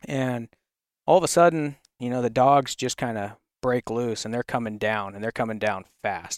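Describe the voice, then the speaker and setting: This man has an ordinary speaking voice, medium in pitch with ordinary pitch variation. He talks at a moderate pace, the sound dry and close with no echo. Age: 30s. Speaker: hound hunter. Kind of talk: casual chat.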